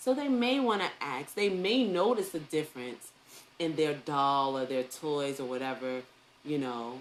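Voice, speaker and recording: In a New York accent, a woman with a very deep, low pitch speaks at a fairly slow pace, her tone animated and her intonation lively. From New York City. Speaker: early education teacher and online talk host. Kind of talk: live online talk. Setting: live stream on social media.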